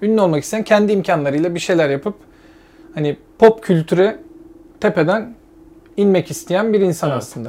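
Long, frequent pauses break up a man's fairly quick speech. His pitch is high, with ordinary pitch variation. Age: 30s. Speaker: podcast co-host. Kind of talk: casual chat.

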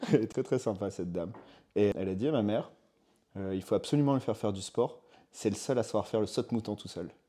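A man talks very fast yet with long, frequent pauses, his fairly low voice dark and mellow in tone with ordinary pitch variation, on a very clean recording with a silent background. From southern France (Var). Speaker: fitness coach. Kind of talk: casual interview.

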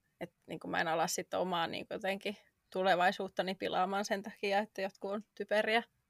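A woman speaks at a fairly quick pace and medium pitch, in a monotone, flat intonation. The recording is very clean and dry, with a close sound, no echo and a silent background. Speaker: podcast co-host. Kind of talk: casual chat.

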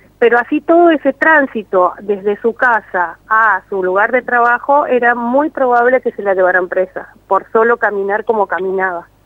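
Hardly pausing, a woman talks at a moderate pace in a fairly high pitch with lively intonation. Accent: Mendoza. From Argentina, Mendoza. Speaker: documentary filmmaker. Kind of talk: interview. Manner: hesitant, many fillers.

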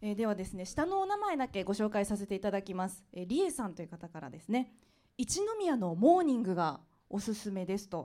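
Her voice has a dark, mellow tone at a medium pitch, with lively intonation. The woman talks at a fairly quick pace, and her loudness swings widely. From Aichi, Anjo. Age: 30s. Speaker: radio DJ. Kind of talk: live public interview. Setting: live venue with audience.

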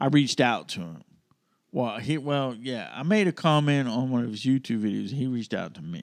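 A man with an Alabama accent and a medium pitch talks at a fairly quick pace, with very wide pitch swings and big swings in loudness, against a quiet background. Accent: Southern US (Alabama). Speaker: podcast co-host. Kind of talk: storytelling in casual chat.

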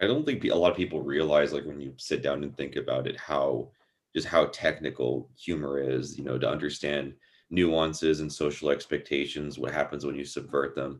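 With vocal fry and a very deep, low pitch, a man talks at a moderate pace in fairly even intonation. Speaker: podcast host. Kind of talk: casual interview chat.

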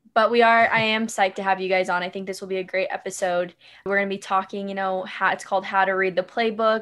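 A woman speaks very fast in a medium pitch with an American accent and flat, monotone intonation. The background is quiet. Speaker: podcast host. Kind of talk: casual chat.

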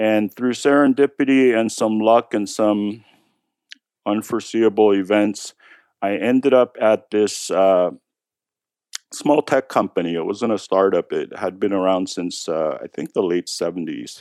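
The pace is fairly slow, with ordinary pitch variation. The sound is dry and close, with no echo. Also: man, fairly low pitch for a man. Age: 50s. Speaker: tech executive and poker player. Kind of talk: interview. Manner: hesitant, many fillers.

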